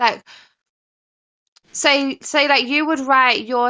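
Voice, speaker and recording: A woman talks very slowly with an English accent. Her intonation stays fairly even. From England, Nottingham area. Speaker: caller on live stream. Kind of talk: casual chat.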